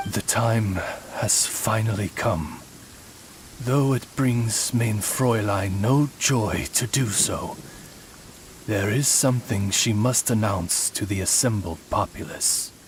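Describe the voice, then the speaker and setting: With clear background noise, a man does a put-on character voice at a medium pitch and a fairly slow pace. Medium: video game. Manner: formal, polished, courtly.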